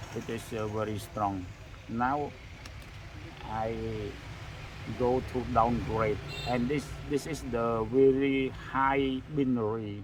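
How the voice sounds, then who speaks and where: Speaking very slowly with long, frequent pauses and fairly even intonation, a man is heard in a room with audible echo and noticeable background noise. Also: medium pitch for a man. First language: non-English. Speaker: phone repair technician. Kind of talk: tutorial. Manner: halting.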